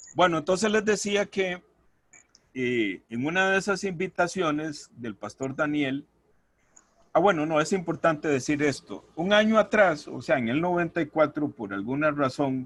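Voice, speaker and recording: A man's fairly high-pitched voice, with lively intonation and a fairly slow pace. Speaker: church deacon. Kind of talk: testimony. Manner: halting, repetitive.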